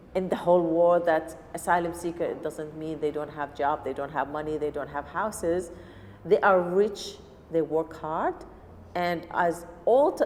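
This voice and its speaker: A woman with an Arabic accent speaks at a moderate pace in a fairly low pitch, with fairly even intonation. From Syria. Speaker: refugee cooking teacher. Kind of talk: personal testimony interview. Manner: halting non-native speech.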